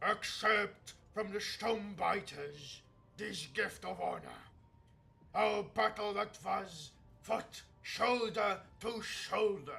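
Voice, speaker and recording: Using a put-on character voice, a man speaks at a very slow pace with a high pitch. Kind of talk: solemn warrior oratory. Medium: game stream. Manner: declaiming, formal.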